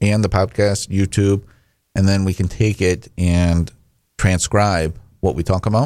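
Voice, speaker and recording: A man with a Michigan accent speaks at a fairly slow pace and a very deep, low pitch, with fairly even intonation. The recording is very clean, with a silent background. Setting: radio studio. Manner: hesitant, filler-heavy.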